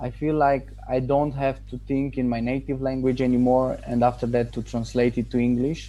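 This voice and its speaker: With hardly any pauses, a man speaks in a Romanian accent while music plays in the background. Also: moderate pace. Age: 20s. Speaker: English learner, online marketer. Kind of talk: testimonial interview. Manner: halting, with self-corrections.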